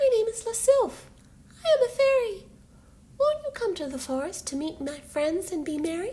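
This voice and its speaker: A woman's squeaky, put-on character voice, extremely high in pitch with very wide pitch swings, at a moderate pace. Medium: read story.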